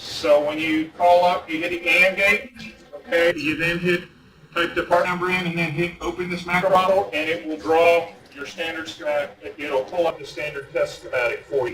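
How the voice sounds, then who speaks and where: The voice has ordinary pitch variation over noticeable background noise. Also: man, high pitch for a man. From US South, North Carolina. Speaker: engineer presenting a training. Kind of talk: lecture. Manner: fast.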